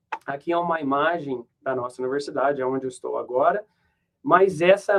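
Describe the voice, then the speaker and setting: A man's fairly high voice comes through at an unhurried but not slow rate. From Brazil. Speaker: professor. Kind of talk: lecture. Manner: halting.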